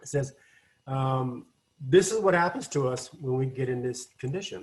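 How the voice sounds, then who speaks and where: Somewhat breathy, a man speaks in a medium pitch with an American accent. His pitch variation is ordinary, with big swings in loudness. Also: moderate pace. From Washington state, US. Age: 60s. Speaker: addiction recovery counselor. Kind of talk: online lecture. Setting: video call. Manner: halting.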